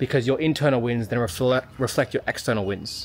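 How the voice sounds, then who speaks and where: With an Australian accent, a man talks at a fairly quick pace in fairly even intonation. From Sydney, Australia. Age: 30s. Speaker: physiotherapist and business mentor. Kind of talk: casual talk to camera. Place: garden. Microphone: phone near.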